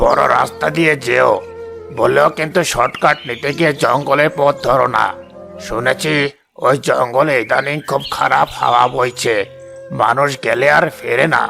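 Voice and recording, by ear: Over clear music in the background, a man does a cartoonish character voice at a fairly high pitch, speaking at a fairly slow pace with very even loudness.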